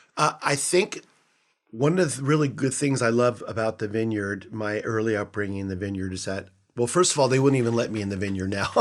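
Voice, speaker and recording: Here a man talks in an unremarkable speaking voice at a fairly quick pace. His pitch is medium, with ordinary variation. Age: 60s. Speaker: retired pastor and nonprofit founder. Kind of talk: casual interview.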